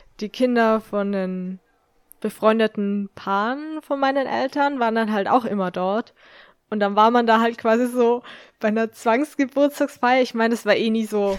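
A woman's fairly high-pitched, plain, everyday voice at a moderate pace with fairly even intonation, in a very clean, dry, close recording with no echo and a silent background. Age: 20s. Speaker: podcast co-host. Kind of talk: casual chat.

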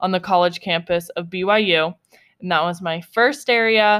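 In an American accent, a woman uses an ordinary speaking voice at a medium pitch and moderate pace with ordinary pitch variation. The recording is very clean, the background silent. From upstate New York. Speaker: podcast co-host. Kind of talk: casual chat.

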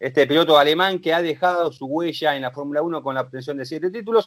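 This is an ordinary speaking voice with ordinary pitch variation, moving at a moderate pace. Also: man. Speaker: motorsport commentator. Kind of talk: casual chat.

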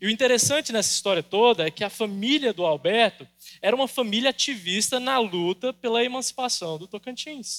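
Speaking at a fairly quick pace, a man with a high pitch and lively intonation comes through in a dry, close sound with no echo. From Brazil, Goiás. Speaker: pastor. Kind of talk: sermon.

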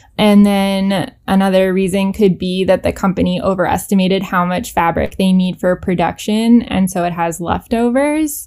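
A woman with a Canadian accent and a normal speaking voice, medium in pitch, at a moderate pace with hardly any pauses and ordinary pitch variation. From Canada. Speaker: fashion designer and pet accessory business owner. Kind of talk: podcast interview. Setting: remote call.

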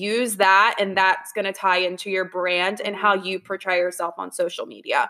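A woman with a plain, everyday voice talks at medium pitch and a moderate pace. Her intonation is fairly even, with hardly any pauses. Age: 20s. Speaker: payroll specialist and online business owner. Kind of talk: casual chat.

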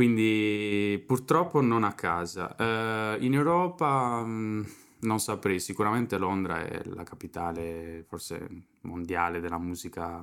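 A man's fairly low voice at a very slow pace. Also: lively intonation. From Sardinia, Italy. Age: 20s. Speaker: drummer and drum teacher. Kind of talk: casual chat.

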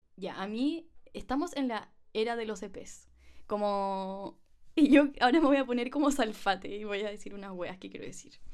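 Her voice is fairly high, and her intonation is lively. The woman speaks with a Chilean accent. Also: moderate pace, big swings in loudness. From Chile, provinces. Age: 20s. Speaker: podcast host and musician. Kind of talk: casual chat.

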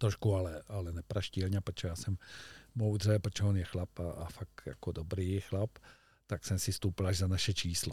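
Very deep and low, a man's somewhat breathy voice moves at a moderate pace, and the sound is dry and close with no echo. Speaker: fly fishing coach. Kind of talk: casual chat. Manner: animated.

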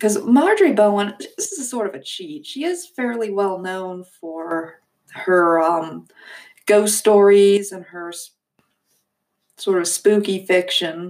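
A woman speaks at a fairly slow pace and a medium pitch, with ordinary pitch variation. Her loudness swings widely. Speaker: podcast host reviewing forgotten authors. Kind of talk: casual book talk monologue. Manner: hesitant, many fillers.

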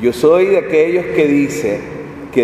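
There is audible room echo and noticeable background noise. A man talks at a fairly slow pace with a fairly high pitch. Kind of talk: sermon.

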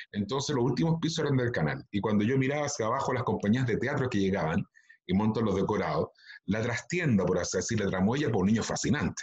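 Very fast speech with lively intonation, very even loudness and a somewhat breathy quality. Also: man, medium pitch for a man. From Chile, Valparaíso region (Quilpué). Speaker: actor and children's TV presenter. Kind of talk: interview.

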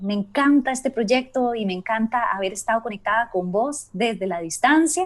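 At a fairly slow pace, the speaker uses lively intonation in an unremarkable speaking voice. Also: woman. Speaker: podcast host. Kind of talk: casual chat. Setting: remote recording from home.

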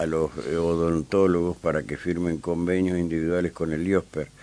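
At a fairly slow pace, a man speaks in a very deep, low pitch with monotone, flat intonation. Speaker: radio host. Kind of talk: radio interview. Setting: radio studio.

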